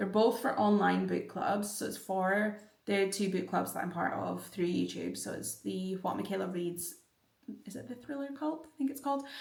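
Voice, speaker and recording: A woman at a moderate pace, with big swings in loudness and audible room echo. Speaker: book vlogger. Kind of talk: casual vlog talk.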